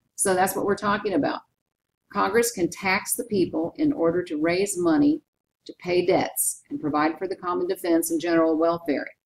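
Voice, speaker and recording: A woman with a plain, everyday voice speaks at a medium pitch and moderate pace with lively intonation. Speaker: teacher. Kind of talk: lecture. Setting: recorded PowerPoint narration.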